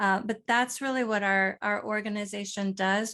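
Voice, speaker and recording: With an American accent and a normal speaking voice, a woman speaks at a medium pitch and a fairly slow pace, her intonation fairly even against a quiet background. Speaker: nonprofit co-founder and author. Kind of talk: panel discussion.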